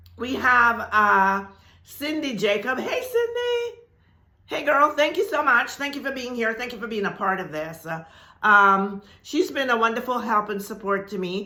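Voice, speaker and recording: Bright and sharp in tone, a woman's fairly high voice sounds animated with lively intonation. She keeps a moderate pace amid audible room echo. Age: 70s. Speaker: spiritual teacher. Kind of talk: video announcement to viewers.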